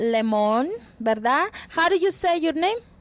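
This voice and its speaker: A woman is speaking. Her intonation is lively. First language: Spanish. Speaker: entertainment interviewer. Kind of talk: interview.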